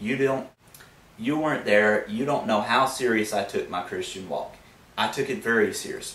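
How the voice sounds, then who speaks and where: A man with a Southern US accent speaks at a moderate pace. Noticeable background noise and audible room echo fill the recording. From US Deep South. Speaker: YouTube atheist commentator. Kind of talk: vlog monologue. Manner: casual, conversational.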